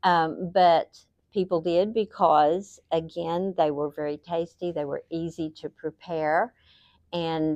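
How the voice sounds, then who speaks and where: A woman speaks at a fairly slow pace. Her pitch is fairly low, with ordinary variation. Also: dry, close sound with no echo. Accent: Appalachian. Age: 60s. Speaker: interviewee, local elder. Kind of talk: interview answers. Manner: casual, conversational.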